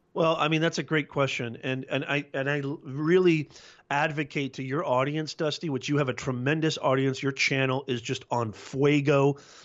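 This man has an ordinary speaking voice, pitched fairly high, with fairly even intonation at a moderate pace. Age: 40s. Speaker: business communications professor and YouTube coach. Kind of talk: podcast interview.

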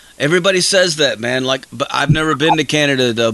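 A man speaks in an enthusiastic tone with lively intonation. Noticeable background noise runs underneath. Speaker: radio host. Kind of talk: radio dj patter. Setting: live radio show, studio. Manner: loud, fired-up, profanity-laden hype; casual, dude-bro enthusiastic.

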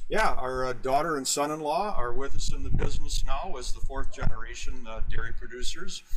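A man with an American accent, a fairly quick pace, hardly any pauses, and noticeable background noise. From US Midwest, Wisconsin. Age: 60s. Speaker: dairy farmer. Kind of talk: interview. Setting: trade show.

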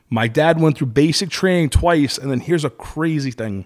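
A man with a Brooklyn accent and lively intonation. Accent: New York (Brooklyn). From Brooklyn, New York. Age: 30s. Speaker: restaurant and venue owner. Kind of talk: casual chat.

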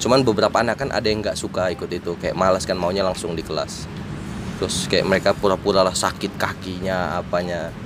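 A man with a very deep, low voice talks at a very fast clip over noticeable background noise. His intonation stays fairly even. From Indonesia, Kupang (East Nusa Tenggara). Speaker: journalist. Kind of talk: casual chat.

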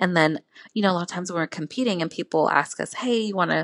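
A woman talking at a very fast pace with lively intonation, in a dry, close sound with no echo. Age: 20s. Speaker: professional bikini competitor. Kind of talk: casual interview.

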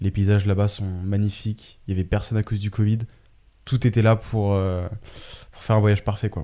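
A man with a dark, mellow tone speaks at a fairly low pitch and a fairly quick pace in monotone, flat intonation, with big swings in loudness and long, frequent pauses, in a very clean recording with a silent background. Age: 20s. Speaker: entrepreneur, data intelligence specialist. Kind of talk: casual chat. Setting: studio.

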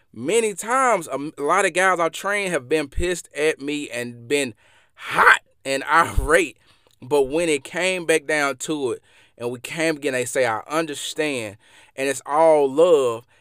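This man speaks with a Mississippi accent at a fairly slow pace, using ordinary pitch variation. His tone is bright and sharp, and the sound is dry and close with no echo. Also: fairly high pitch for a man. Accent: Southern US (Mississippi). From Mississippi, US South. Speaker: podcast host and former athlete. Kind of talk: solo motivational podcast monologue. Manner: motivational, conversational, with fillers.

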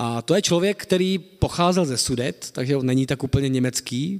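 An ordinary speaking voice from a man, fairly high in pitch, with lively intonation at a moderate pace. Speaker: historian, associate professor of modern Czech history. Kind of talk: lecture. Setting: lecture hall with audience.

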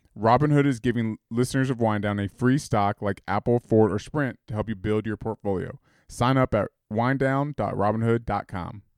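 A man has a plain, everyday voice at medium pitch with fairly even intonation. He keeps a moderate pace, and the sound is dry and close with no echo. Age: 30s. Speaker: podcast co-host. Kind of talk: casual chat.

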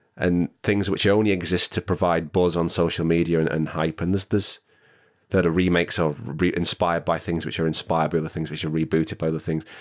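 In a northern English accent, a man speaks very fast with a very deep, low pitch and monotone, flat intonation, the sound dry and close with no echo on a very clean recording with a silent background. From northwest England. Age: 30s. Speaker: actor and singer. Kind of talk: casual chat.

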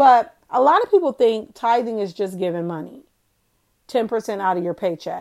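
On a very clean recording with a silent background, a woman with a medium pitch talks at a fairly quick pace in an ordinary speaking voice. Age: 40s. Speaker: faith podcast host. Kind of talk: casual inspirational monologue. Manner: conversational, with filler ums.

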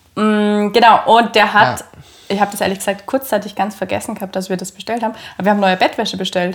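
Her intonation fairly even, a woman talks at a very fast pace and a medium pitch. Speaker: podcast co-host. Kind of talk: casual chat. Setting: at home on the couch.

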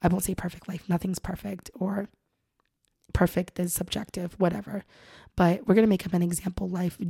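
The voice is somewhat breathy with a dark, mellow tone and a monotone, flat intonation. It moves at a fairly quick pace with long, frequent pauses, in a dry, close sound with no echo. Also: woman, medium pitch for a woman. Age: 30s. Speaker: podcast host. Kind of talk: solo podcast monologue. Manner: casual, filler-heavy.

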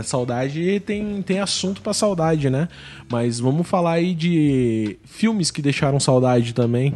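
His dark, mellow tone sits at a fairly high pitch for a man, and he speaks fairly slowly with lively intonation. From Brazil, interior of Paraná. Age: 30s. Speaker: podcast host. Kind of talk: casual chat. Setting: studio.

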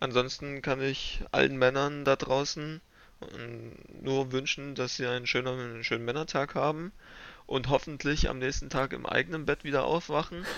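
Fairly high in pitch, a man's plain, everyday voice keeps a fairly even intonation. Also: moderate pace. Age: 20s. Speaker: nurse. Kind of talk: casual chat.

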